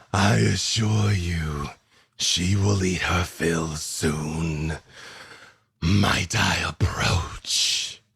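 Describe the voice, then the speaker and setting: A man's booming, growling put-on character voice, very deep and low in pitch, at a very slow pace. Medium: actual play. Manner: silky, calm, menacing.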